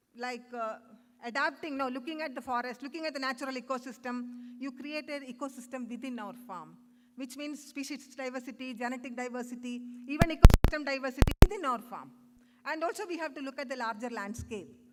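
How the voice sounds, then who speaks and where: A woman talks very fast in a high pitch, with big swings in loudness and ordinary pitch variation. Noticeable background noise is present. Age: 60s. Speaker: conference speaker. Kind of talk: conference talk. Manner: halting.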